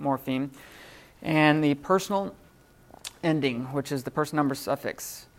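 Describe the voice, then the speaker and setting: A woman on a very clean recording with a silent background. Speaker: Greek teacher. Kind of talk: classroom lecture. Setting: classroom. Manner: hesitant, many fillers.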